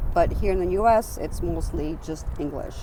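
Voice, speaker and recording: A woman's voice carries audible room echo. Noticeable background noise runs behind her. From Romania, ethnic Hungarian. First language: Hungarian. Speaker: interviewee. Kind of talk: interview.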